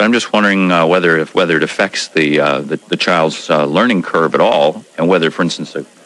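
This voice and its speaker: With noticeable background noise behind him, a man speaks at a very fast pace. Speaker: radio morning show host. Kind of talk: call-in talk radio. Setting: radio studio.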